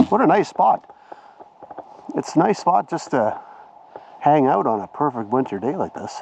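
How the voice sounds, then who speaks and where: With a Canadian accent, the speaker moves at a moderate pace through very wide pitch swings, leaving long, frequent pauses. Noticeable background noise sits under the voice. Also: man. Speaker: vlogger walking his dogs; military veteran. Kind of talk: casual vlog narration. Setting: outdoors on a snowy winter trail. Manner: relaxed, with many filler uhs.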